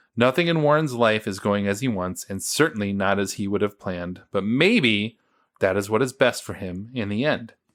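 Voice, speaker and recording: The recording is very clean, with a silent background. A man with an American accent talks at a moderate pace in an ordinary speaking voice, with ordinary pitch variation. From United States. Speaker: podcast host. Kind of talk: casual chat.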